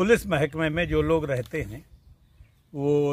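This man's voice sits fairly high in pitch and moves with ordinary variation. He speaks at a very slow pace, and the sound is dry with no echo. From Sitapur district, Uttar Pradesh, India; Uttar Pradesh. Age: 70s. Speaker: retired police officer and fruit farmer. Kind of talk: interview answers; interview answer. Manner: halting.

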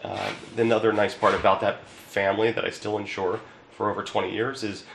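A man with a Philadelphia accent, medium in pitch, fairly quick, in a monotone, flat delivery over noticeable background noise. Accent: Philadelphia-area American. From Newtown, Pennsylvania (Bucks County). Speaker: insurance agent. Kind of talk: promotional talk. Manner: hesitant, with filler words.

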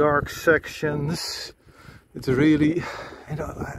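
A man at a very slow pace, with a dry sound with no echo and noticeable background noise. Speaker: cyclist reviewing bike lights. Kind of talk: casual ride commentary. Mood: annoyed, critical. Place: bicycle. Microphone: camera far.

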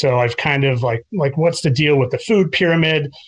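A man with an American accent speaks fairly high, somewhat breathily, with ordinary pitch variation and a moderate pace. The sound is dry and close, with no echo. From US Midwest, Chicago northern suburbs. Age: 40s. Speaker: teacher. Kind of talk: casual interview chat. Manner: halting, many filler words.

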